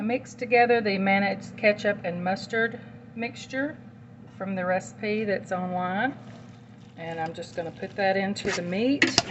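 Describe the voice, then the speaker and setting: A woman with a Southern US accent speaks at a fairly slow pace in a medium pitch with ordinary pitch variation, over noticeable background noise. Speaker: home cook and meal-prep business owner. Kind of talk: cooking tutorial. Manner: casual, conversational.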